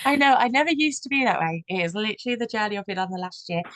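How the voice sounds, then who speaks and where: Delivered at a very fast pace with lively intonation, this Brummie accent comes through in a dry, close sound with no echo. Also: woman. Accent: Birmingham (Brummie). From Birmingham, England. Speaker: business coach. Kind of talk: panel discussion. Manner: fast-talking.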